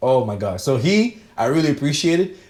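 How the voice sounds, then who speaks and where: The tone here is dark and mellow. It is also somewhat breathy. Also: man. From Cameroon, moved to Toronto as a child. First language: French. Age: 20s. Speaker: film director. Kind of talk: casual chat. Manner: casual, slangy, hesitant with fillers.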